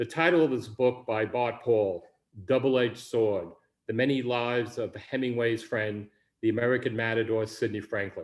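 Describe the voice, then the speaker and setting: A man speaks with a Bronx accent. The recording is very clean with a silent background. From New York City, the Bronx. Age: 60s. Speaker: writer, Vietnam veteran. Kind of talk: reading aloud of own memoir.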